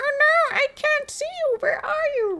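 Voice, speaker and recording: A put-on character voice sounds squeaky at an extremely high pitch. It moves at a fairly slow pace. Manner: taunting, menacing.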